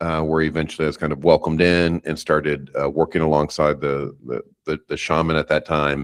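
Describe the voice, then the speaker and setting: Against a quiet background, a man with a very deep, low voice talks at a fairly quick pace in a monotone, flat intonation. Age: 50s. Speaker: psychedelic facilitator and instructor. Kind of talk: interview testimony.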